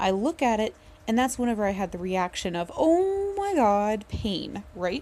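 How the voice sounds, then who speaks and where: A woman speaks at a moderate pace with a fairly high pitch. Her tone is dark and mellow, and her intonation is lively. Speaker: video blogger. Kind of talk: casual vlog talk. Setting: dark room at night. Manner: halting.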